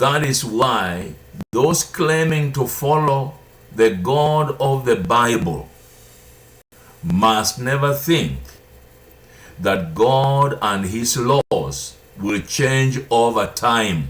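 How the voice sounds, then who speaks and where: Speaking at a very slow pace with long, frequent pauses, a man uses a medium pitch, lively intonation and a somewhat breathy delivery, with audible room echo. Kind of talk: sermon-style teaching. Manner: deliberate.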